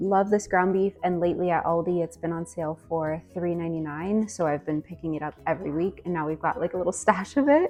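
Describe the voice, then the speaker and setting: Music plays in the background as a soft-spoken woman talks at a fairly quick pace. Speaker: stay-at-home mom vlogger. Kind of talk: casual cooking vlog.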